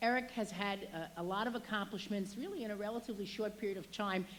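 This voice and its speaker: Fairly high in pitch, a woman talks at a fairly quick pace. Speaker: state legislator. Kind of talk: public speech. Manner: fast.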